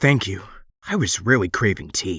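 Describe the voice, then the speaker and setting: A man's put-on character voice, raspy and fairly low-pitched, with lively intonation. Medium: audio drama. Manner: polite, deferential.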